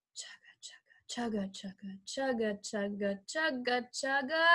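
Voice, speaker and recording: Her pitch high and her intonation lively, a woman speaks at a very slow pace against a quiet background. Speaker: preschool teacher. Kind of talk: children's circle-time instruction. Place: home room. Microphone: webcam.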